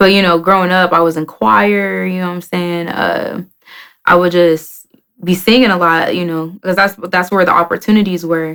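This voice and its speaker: In an American accent, a woman with an unremarkable speaking voice talks at a moderate pace with a fairly low pitch and fairly even intonation. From Oklahoma City, Oklahoma. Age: 20s. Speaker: rapper. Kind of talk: interview.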